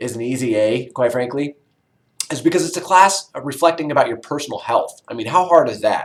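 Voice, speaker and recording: Lively intonation marks the fairly quick speech of a man. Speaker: college instructor. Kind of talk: online class introduction video. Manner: fast; casual, many fillers.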